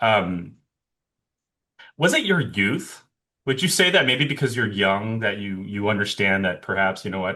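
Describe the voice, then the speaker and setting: Against a quiet background, a man with a fairly low pitch and a bright, sharp tone moves at a moderate pace, with long, frequent pauses. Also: ordinary pitch variation. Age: 30s. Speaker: podcast host. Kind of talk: interview.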